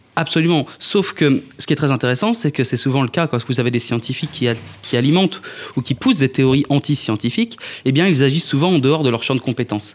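Talking very fast, a man keeps his loudness very even, his fairly high pitch moving with ordinary variation. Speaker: political scientist, conspiracy theory researcher. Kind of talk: interview. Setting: festival VIP area.

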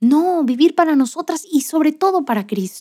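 With lively intonation, this woman speaks in an animated tone. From Monterrey, Nuevo León, Mexico. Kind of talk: faith-based motivational monologue.

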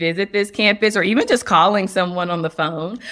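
Using an unremarkable speaking voice with an American accent, a woman speaks at medium pitch with ordinary pitch variation. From North Carolina. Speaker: clinical social worker. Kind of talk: interview.

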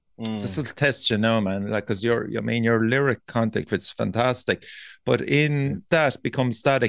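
In an Irish accent, the voice moves at a moderate pace with a dry, close sound with no echo against a quiet background. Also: man. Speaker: podcast host. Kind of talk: casual chat.

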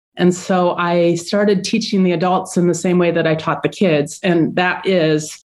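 A woman's unremarkable speaking voice at medium pitch, fairly slow and fairly even in intonation, against a quiet background. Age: 50s. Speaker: artist and online art teacher. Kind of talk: interview.

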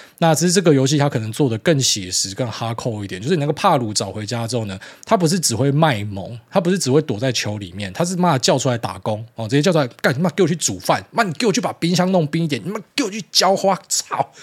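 A man talks at a very fast clip with hardly any pauses, his somewhat breathy voice sitting fairly high and swinging very widely in pitch. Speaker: podcast host. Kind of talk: casual monologue. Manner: hesitant fillers.

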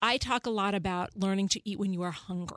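In a very clean recording with a silent background and a dry, close sound with no echo, a woman with a plain, everyday voice speaks at a medium pitch and moderate pace with fairly even intonation. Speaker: therapist. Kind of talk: advice talk on a podcast. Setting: studio. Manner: articulate.

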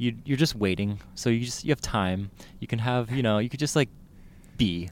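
On a very clean recording with a silent background, a man with a Californian accent speaks at a fairly quick pace. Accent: Californian American English. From San Francisco Bay Area, California (South San Francisco). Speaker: newspaper food editor. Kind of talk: casual chat.

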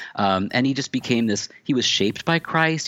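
Recorded with a dry, close sound and no echo, a man with a General American accent and an unremarkable speaking voice talks at a fairly quick pace with ordinary pitch variation. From US Pacific Northwest, Tacoma, Washington. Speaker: author and church history professor. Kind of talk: interview.

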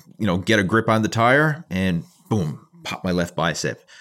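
In a very clean recording with a silent background, a man with a Canadian accent and an unremarkable speaking voice talks fairly quickly at a fairly low pitch with lively intonation. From Canada. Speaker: bodybuilder and online fitness coach. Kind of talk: casual interview chat.

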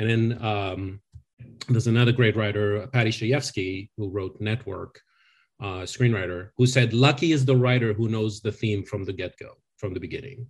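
A somewhat breathy man's voice in a medium pitch with a French accent, moderate pace and ordinary pitch variation, over a quiet background. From France. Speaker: screenwriting consultant and educator. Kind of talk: casual interview chat.

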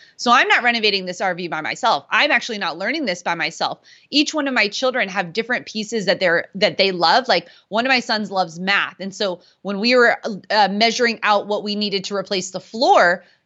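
A woman talks at a fairly quick pace in an ordinary speaking voice. Her pitch is medium, with ordinary variation. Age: 30s. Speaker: homeschooling parent. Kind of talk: podcast interview.

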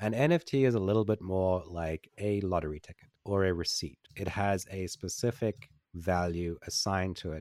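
On a very clean recording with a silent background, a man's very deep, low voice shows ordinary pitch variation in a dry, close sound with no echo. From South Africa, Port Elizabeth. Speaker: creative director and AI author. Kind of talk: interview. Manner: hesitant, many fillers and repeats.

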